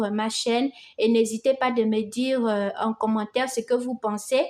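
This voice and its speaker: At a high pitch, a woman with a non-native accent talks at a fairly slow pace with fairly even intonation. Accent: non-native French, self-described. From Gabon. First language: Fang (speaking French). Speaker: crochet teacher. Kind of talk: tutorial. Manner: warm, encouraging.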